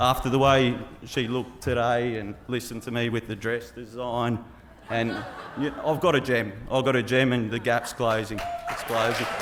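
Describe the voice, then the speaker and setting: A man's medium-pitched, monotone voice with flat intonation at a moderate pace, with noticeable background noise and audible room echo. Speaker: groom giving wedding speech. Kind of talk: wedding speech. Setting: wedding reception with audience. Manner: loud; halting, lots of ums and repeats.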